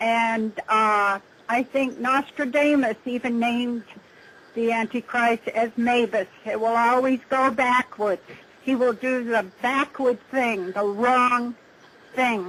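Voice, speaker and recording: A woman speaks at a very slow pace with a high pitch, fairly even intonation and very even loudness. Noticeable background noise sits under her voice. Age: 70s. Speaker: UFO contactee. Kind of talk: interview. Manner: halting.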